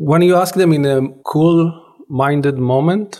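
This man's voice has a dark, mellow tone. It is somewhat breathy. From Israel. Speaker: anthropology professor. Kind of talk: interview.

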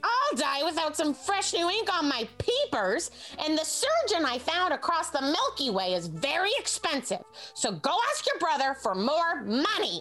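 A woman's extremely high-pitched voice with very wide pitch swings at a moderate pace over clear background music. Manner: shrill, berating, contemptuous.

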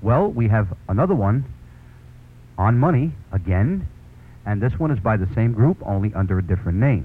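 Somewhat breathy speech in a Brooklyn accent moves at a moderate pace with lively intonation, very even loudness and long, frequent pauses. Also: man, fairly low pitch for a man. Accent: New York (Brooklyn). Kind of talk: 1970s late-night radio show banter with sponsor reads. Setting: radio studio broadcast. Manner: friendly, warm, enthusiastic.

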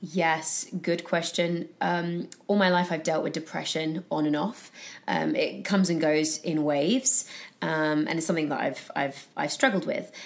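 At a moderate pace, a woman with a British accent speaks in a fairly low pitch with ordinary pitch variation. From UK. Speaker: actress and founder of a positive news platform. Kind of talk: casual interview. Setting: in person studio.

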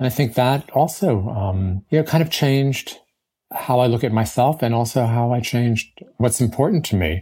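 At a moderate pace, a man with a medium pitch talks in a somewhat breathy voice with a dark, mellow tone, lively intonation and very even loudness. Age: 60s. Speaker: author and columnist. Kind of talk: interview answers, conversational. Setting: remote interview with mic interference.

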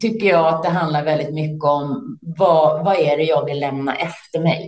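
Fairly slow speech from a woman, somewhat breathy in quality. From Sweden, Stockholm area. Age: 50s. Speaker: entrepreneur and business leader. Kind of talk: interview. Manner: hesitant, many fillers.

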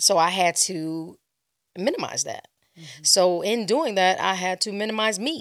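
A woman with an American accent and an unremarkable speaking voice talks at a moderate pace and medium pitch, using lively intonation and big swings in loudness. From Los Angeles, California. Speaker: DJ and club brand ambassador. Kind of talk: casual interview.

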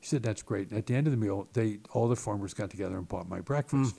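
Somewhat breathy and very fast, a man speaks in a dark, mellow tone at a fairly low pitch with ordinary pitch variation. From Baltimore, Maryland. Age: 60s. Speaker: state legislator, former Marine. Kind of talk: casual interview conversation. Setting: office.

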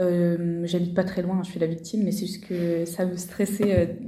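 In a somewhat breathy voice with a dark, mellow tone, a woman speaks fairly slowly at medium pitch in monotone, flat intonation, with audible room echo. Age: 20s. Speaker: medical student. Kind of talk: testimony. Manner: hesitant.

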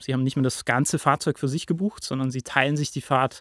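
A man talks at medium pitch with fairly even intonation. The sound is dry and close with no echo, in a very clean recording with a silent background. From Lake Constance region, rural southern Germany. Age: 20s. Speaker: PR manager at a ride-pooling company. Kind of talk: podcast interview.

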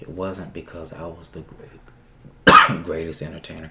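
Soft-spoken and monotone with flat intonation, a man talks at a very deep, low pitch. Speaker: performer and show producer. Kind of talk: casual interview chat.

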